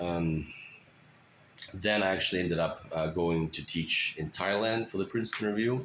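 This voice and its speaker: A man speaks with a Russian accent in a very deep, low voice. His pace is moderate and his pitch variation ordinary. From Russia, moved to US at 13. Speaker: teacher. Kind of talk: self-introduction. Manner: hesitant, many fillers.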